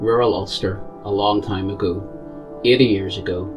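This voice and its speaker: Clear music sits in the background. A man talks with fairly low pitch and ordinary pitch variation. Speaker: local history presenter. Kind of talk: casual talk to camera. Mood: calm, measured storytelling. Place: home room.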